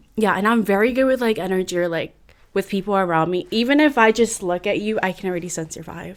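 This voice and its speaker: Speaking at a very fast pace, a woman uses a Californian accent, her medium pitch showing ordinary variation. The recording is very clean, with a silent background. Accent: Californian American English. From San Francisco Bay Area, California. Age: 20s. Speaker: podcast guest. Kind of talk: casual interview chat.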